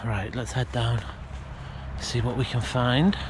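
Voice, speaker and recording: At a very slow pace, a man speaks in a dry sound with no echo over noticeable background noise. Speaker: urban explorer vlogger. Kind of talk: casual vlog chat. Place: open country. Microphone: phone near.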